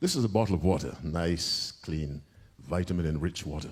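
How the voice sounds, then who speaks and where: A man with vocal fry at a moderate pace. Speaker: Adventist preacher. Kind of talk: sermon delivered to a live audience, answering a question.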